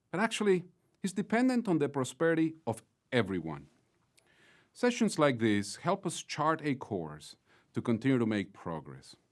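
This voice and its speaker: On a very clean recording with a silent background, a man with a Mexican accent speaks at a moderate pace with a fairly high pitch, very wide pitch swings and long, frequent pauses. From Mexico (Mexico City). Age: 50s. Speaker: business executive, closing speaker. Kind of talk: closing keynote speech. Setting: virtual conference. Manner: formal.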